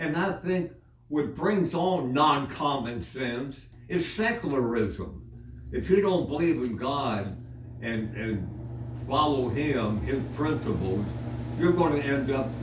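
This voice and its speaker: Man at a very slow pace and medium pitch, with noticeable background noise. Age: 80s+. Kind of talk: casual conversational reminiscence. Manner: rambling, hesitant.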